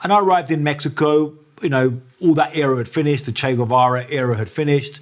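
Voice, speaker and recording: A man in a southern English accent, with ordinary pitch variation. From southern England, near Brighton. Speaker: journalist. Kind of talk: interview. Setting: in person, Mexico City. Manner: hesitant, many fillers.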